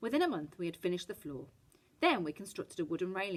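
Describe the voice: Someone reads aloud here. The reading is plain.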